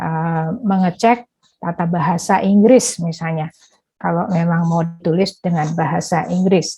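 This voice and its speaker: A woman with a Javanese accent speaks fairly slowly in a somewhat breathy, dark, mellow voice at a fairly low pitch. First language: Javanese (speaking Indonesian). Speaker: workshop speaker on academic writing. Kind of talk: online workshop presentation. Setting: online workshop. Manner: hesitant, frequent fillers.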